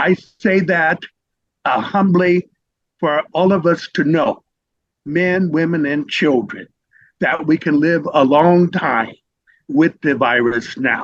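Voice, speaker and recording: A man with an American accent speaks very slowly at a fairly high pitch, with ordinary pitch variation and long, frequent pauses. The sound is dry and close, with no echo. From US Midwest, Indianapolis, Indiana. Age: 70s. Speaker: HIV advocate and professor. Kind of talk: interview talk. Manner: halting, many fillers.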